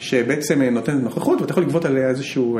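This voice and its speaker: The speech moves at a fairly quick pace. There is audible room echo along with noticeable background noise. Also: man. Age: 40s. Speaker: hedge fund manager. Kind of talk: interview.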